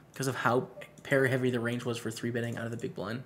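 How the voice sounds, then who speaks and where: Somewhat breathy and at medium pitch, a man talks at a very fast pace. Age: 20s. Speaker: poker streamer. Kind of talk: live stream commentary with chat. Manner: casual, conversational.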